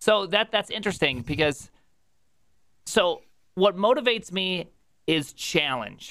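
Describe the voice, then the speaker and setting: A man speaks at a fairly slow pace with long, frequent pauses and a high pitch. His animated tone is bright and sharp, with lively intonation. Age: 30s. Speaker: streamer. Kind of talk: casual chat. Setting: live stream.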